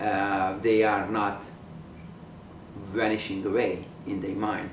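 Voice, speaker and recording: A man speaks very slowly in a Hungarian accent, his fairly low voice somewhat breathy. His intonation is monotone and flat, and the room echo is audible. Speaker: painter, artist. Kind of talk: documentary interview monologue. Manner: halting, many fillers.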